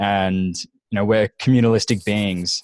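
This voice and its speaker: A man with a slight Australian accent and a fairly low pitch speaks with fairly even intonation in a dry, close sound with no echo. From Australia, Gold Coast. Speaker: business mastermind group organizer. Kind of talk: casual group video call.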